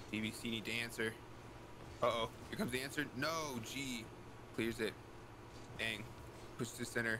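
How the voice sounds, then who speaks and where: A man talks with long, frequent pauses amid noticeable background noise. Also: medium pitch for a man. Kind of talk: esports commentary. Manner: fast, animated play-by-play, rising with each goal.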